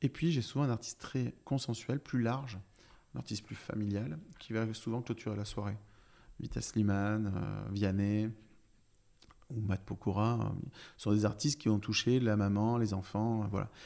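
A man speaks at a fairly slow pace and a fairly low pitch, with ordinary pitch variation and long, frequent pauses. His tone is dark and mellow. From France, Brive-la-Gaillarde (Corrèze). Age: 40s. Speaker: festival director. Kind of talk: interview conversation. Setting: apartment in city centre.

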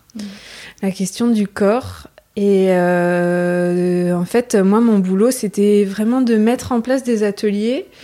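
Over noticeable background noise, a woman with a fairly high pitch speaks at a very slow pace, her pitch varying in an ordinary way. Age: 30s. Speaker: masseuse and sophrologist. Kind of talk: casual interview conversation. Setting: at home, living room.

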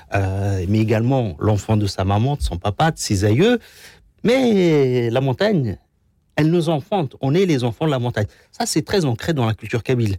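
A man's medium-pitched, dark, mellow voice with very wide pitch swings and very even loudness, at a moderate pace, on a very clean recording with a silent background. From Algeria, Kabylie. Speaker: association ambassador, former youth in distress. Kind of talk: testimony. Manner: halting.

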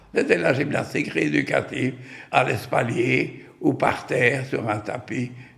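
A man talks at a very slow pace in a medium pitch. Noticeable background noise sits behind him. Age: 90s. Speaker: retired physiotherapist. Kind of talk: personal testimony. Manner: halting, with many hesitations.

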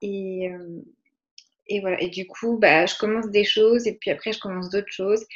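Her voice is fairly high in pitch for a woman. She keeps her intonation fairly even. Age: 20s. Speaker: podcast listener. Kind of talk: interview. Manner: hesitant.

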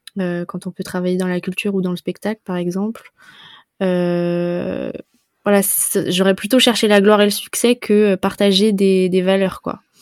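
A woman speaks at a fairly slow pace in a medium pitch, her flat, monotone delivery recorded with a dry, close sound and no echo. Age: 20s. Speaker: travel and spirituality podcaster. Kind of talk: casual interview. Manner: hesitant, many fillers.

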